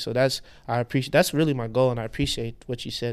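Over a very clean recording with a silent background, a man of medium pitch talks at a very fast pace in an American accent. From Houston, Texas (Nigerian parents). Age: 30s. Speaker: fashion designer. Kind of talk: casual chat.

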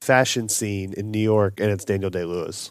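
This is a normal speaking voice from a man, fairly low in pitch, at a fairly quick pace. The recording is very clean with a silent background. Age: 30s. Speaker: movie podcast host. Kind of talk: casual chat.

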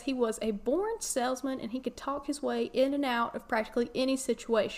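Here a woman talks in a Southern US accent with a high pitch. Her pace is fairly quick, with hardly any pauses. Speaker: podcast host. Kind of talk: casual chat. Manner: mumbled, doesn't enunciate.

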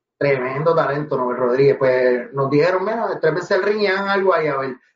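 A fairly high-pitched man's voice with a Puerto Rican accent. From Puerto Rico, Guaynabo. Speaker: professional wrestler and reggaeton artist. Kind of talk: interview.

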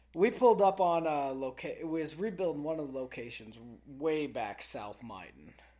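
Against a quiet background, a man with an American accent speaks at a moderate pace and fairly high pitch, with very wide pitch swings and big swings in loudness. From Texas. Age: 20s. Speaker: oilfield worker. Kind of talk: casual chat.

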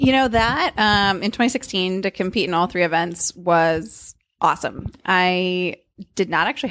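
Recorded very cleanly against a silent background, a woman with an unremarkable speaking voice talks at a moderate pace and medium pitch, with ordinary pitch variation. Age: 30s. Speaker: professional runner. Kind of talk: casual interview. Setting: in person, Cambridge, Massachusetts.

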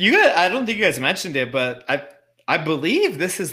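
A man talks with a fairly high pitch. Vocal fry runs through his voice. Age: 30s. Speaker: MMA betting panelist. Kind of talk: casual chat.

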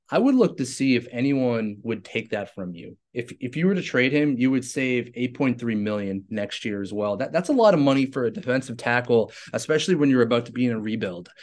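A plain, everyday voice from a man at a medium pitch, fairly quick with hardly any pauses and ordinary pitch variation, against a quiet background. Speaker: sports podcast host. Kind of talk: casual sports analysis chat.

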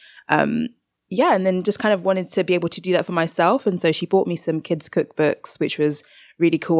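A woman with a London accent speaks at a fairly quick pace and a fairly low pitch with ordinary pitch variation, on a very clean recording with a silent background and a dry, close sound with no echo. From South London. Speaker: baker and cookbook author. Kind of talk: interview.

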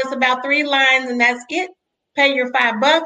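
A raised, projected voice, bright and sharp in tone and animated, at a moderate pace. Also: woman. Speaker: podcast host. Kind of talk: interview.

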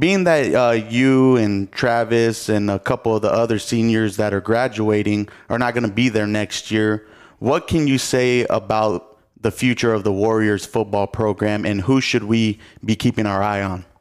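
This man has an unremarkable speaking voice with an American accent, fairly low in pitch. His intonation is fairly even and his pace moderate. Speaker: podcast host. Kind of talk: interview-style podcast hosting.

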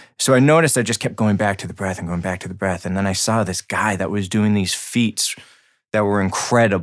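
A man with an American accent and a plain, everyday voice talks at a fairly quick pace, his pitch fairly low with ordinary variation. The recording is very clean, with a silent background. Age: 30s. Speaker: breath and meditation coach. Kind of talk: casual interview.

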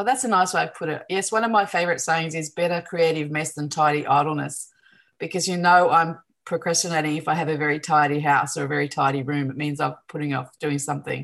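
A woman's very deep, low pitch with an Australian accent, very fast pace and ordinary pitch variation against a quiet background. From Newcastle, New South Wales, Australia. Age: 50s. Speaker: artist and teacher. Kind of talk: casual interview chat.

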